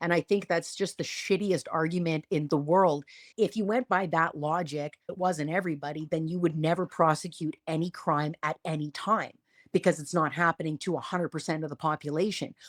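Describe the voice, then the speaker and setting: An animated woman with a fairly low pitch at a fairly quick pace, dry and close with no echo, on a very clean recording with a silent background. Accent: Canadian. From Canada. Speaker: podcast co-host. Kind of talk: casual political chat.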